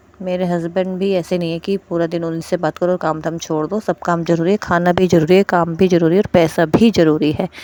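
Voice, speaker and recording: Delivered at a moderate pace, the voice has a dark, mellow tone and monotone, flat intonation, recorded with a dry, close sound and no echo. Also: woman, fairly low pitch for a woman, hardly any pauses. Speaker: housewife vlogger. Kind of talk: casual vlog talk to viewers. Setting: at home. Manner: soft, quiet voice.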